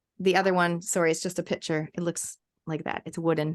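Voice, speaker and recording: A woman's fairly low voice at a very fast pace, dry and close with no echo, against a quiet background. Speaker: essential oils educator. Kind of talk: webinar presentation. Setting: online webinar.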